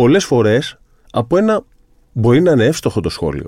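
The voice has a dark, mellow tone and a moderate pace on a very clean recording with a silent background. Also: man. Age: 30s. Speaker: sports psychologist. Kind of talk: casual interview chat.

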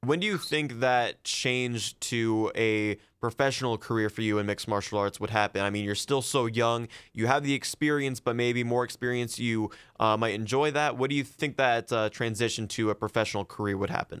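With an American accent and a plain, everyday voice, a man speaks at medium pitch with fairly even intonation, recorded very cleanly against a silent background with a dry, close sound and no echo. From Ohio. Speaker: podcast host. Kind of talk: interview.

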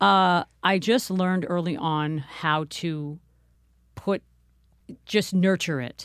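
A woman's fairly low voice with an American accent, very slow pace, ordinary pitch variation, long and frequent pauses, and a very clean recording over a silent background. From Manhattan, New York. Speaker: singer and actress. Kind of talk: casual interview chat.

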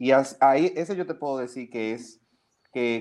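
This is a man with an unremarkable speaking voice at medium pitch. He talks at a moderate pace. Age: 30s. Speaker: publicist and events agency founder. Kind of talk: casual interview.

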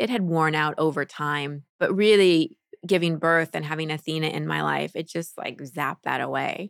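A woman's ordinary speaking voice, fairly low in pitch with ordinary variation, at a moderate pace in a very clean recording with a silent background. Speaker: life coach. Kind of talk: interview conversation.

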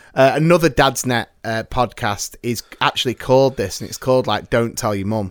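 Speech at a moderate pace with hardly any pauses, ordinary pitch variation and big swings in loudness. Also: man, medium pitch for a man. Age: 30s. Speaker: podcast host. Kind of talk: casual chat. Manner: animated.

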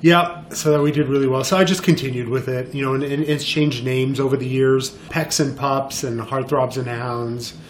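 Amid noticeable background noise and audible room echo, a man with a medium pitch speaks at a moderate pace with fairly even intonation and hardly any pauses. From Montreal, Quebec. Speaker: photographer. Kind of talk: interview. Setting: studio.

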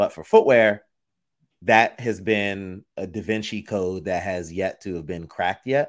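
A man's plain, everyday voice at a fairly low pitch and fairly slow pace, with ordinary pitch variation and big swings in loudness, in a very clean recording with a silent background. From Florida, born in the Bronx, New York. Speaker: footwear designer and entrepreneur. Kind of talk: interview.

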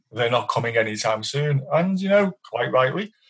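A somewhat breathy man with a British accent and ordinary pitch variation. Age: 50s. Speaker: technology journalist. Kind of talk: interview.

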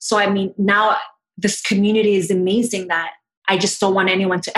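Medium-pitched female speech at a moderate pace, a plain, everyday voice. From Canada, Toronto. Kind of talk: casual chat. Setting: video call.

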